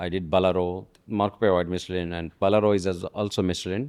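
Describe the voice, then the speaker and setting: A man's very deep, low voice at a fairly quick pace, over a quiet background. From South India, Andhra Pradesh. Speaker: chef and restaurant founder. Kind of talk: interview. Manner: hesitant, many fillers.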